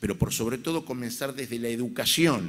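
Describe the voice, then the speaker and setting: The intonation is lively. The pace is fairly slow. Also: man. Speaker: rabbi. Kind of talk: conference speech. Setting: stage with audience. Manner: formal.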